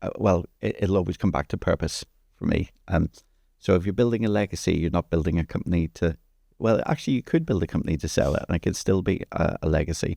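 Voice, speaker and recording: A man with an Irish accent, very deep and low in pitch, dark and mellow in tone, fairly quick, with ordinary pitch variation and a dry, close sound with no echo. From Ireland. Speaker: entrepreneur. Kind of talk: podcast interview. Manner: halting, with repeated words.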